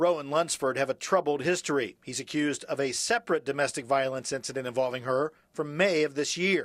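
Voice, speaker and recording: A man with a plain, everyday voice speaks at a fairly high pitch with ordinary pitch variation. His pace is fairly quick with hardly any pauses, on a very clean recording with a silent background. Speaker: TV news reporter. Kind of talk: TV news reporter package narration.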